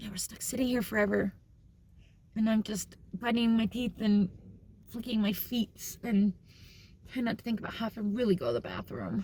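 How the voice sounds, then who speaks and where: A woman with a fairly high pitch speaks at a moderate pace with long, frequent pauses. Her tone is dark, mellow, and somewhat breathy. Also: fairly even intonation. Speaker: family vlogger. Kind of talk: casual chat.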